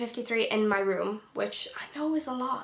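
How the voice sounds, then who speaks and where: A woman speaks with a bright, sharp tone. Room echo can be heard. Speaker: book vlogger. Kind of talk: casual vlog. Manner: rambling, hesitant.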